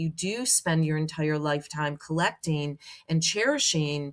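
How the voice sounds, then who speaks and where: A woman speaks at a fairly slow pace with a fairly low pitch and fairly even intonation. The recording is very clean, with a silent background. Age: 60s. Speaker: professional organizer. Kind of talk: interview. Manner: halting.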